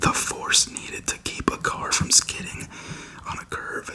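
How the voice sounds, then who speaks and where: Over noticeable background noise, a man is whispering at a fairly slow pace. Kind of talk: reading a textbook passage aloud. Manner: whispered, soft-spoken.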